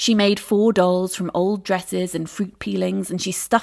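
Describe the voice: Someone does plain reading aloud of a text.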